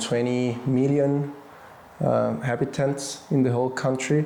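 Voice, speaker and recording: A man with a Spanish accent talks at a fairly slow pace and with fairly even intonation. Audible echo from the room surrounds his voice. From Mexico, Guadalajara. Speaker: violin maker and musician. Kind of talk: podcast interview. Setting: office. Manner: halting, repeats words.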